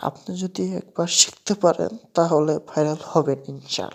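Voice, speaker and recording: Very deep, low-pitched woman with ordinary pitch variation. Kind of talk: casual video commentary voiceover. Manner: informal, chatty.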